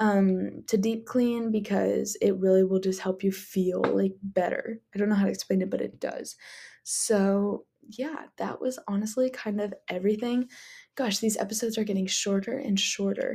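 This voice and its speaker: A woman's dark, mellow, somewhat breathy voice at medium pitch, with fairly even intonation and a moderate pace. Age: 20s. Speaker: podcast host, college student. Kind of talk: casual solo podcast chat.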